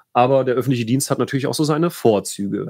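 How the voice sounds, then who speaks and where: The recording is very clean and the background silent. A man talks very fast, his pitch varying in an ordinary way. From Rhineland-Palatinate, Bad Kreuznach district. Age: 30s. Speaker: state politician. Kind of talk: solo livestream talk. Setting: home office. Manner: halting, many fillers.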